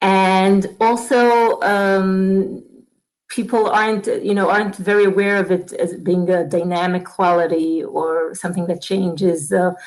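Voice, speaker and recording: A woman at a fairly slow pace, with fairly even intonation and very even loudness. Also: medium pitch for a woman. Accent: Israeli. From Israel. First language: Hebrew. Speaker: Torah teacher. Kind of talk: conversational webinar discussion. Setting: online webinar studio. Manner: halting, stuttering.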